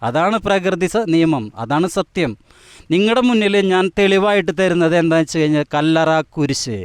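A high-pitched man with lively intonation, in a dry, close sound with no echo and a quiet background. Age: 50s. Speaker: self-proclaimed divine incarnation, mechanic. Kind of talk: interview.

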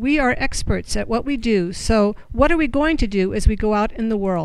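Against a quiet background, a woman talks at a moderate pace with ordinary pitch variation in a dry sound with no echo. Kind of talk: group report-back reading. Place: meeting room. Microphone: handheld.

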